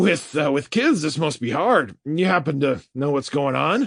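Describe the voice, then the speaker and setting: Putting on a raspy character voice, a man talks at a fairly high pitch. His intonation is lively and his pace moderate. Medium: read story. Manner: hesitant, stammering.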